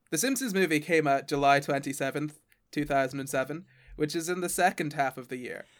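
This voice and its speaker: A man with an ordinary speaking voice talks at a fairly quick pace, with a fairly high pitch and ordinary pitch variation, in a very clean recording with a silent background. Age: 20s. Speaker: science podcaster. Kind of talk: casual chat.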